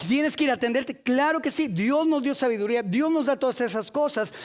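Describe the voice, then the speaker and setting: In a very clean recording with a silent background, a man with an extremely high voice speaks in an animated tone at a moderate pace with ordinary pitch variation. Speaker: preacher. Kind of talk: sermon.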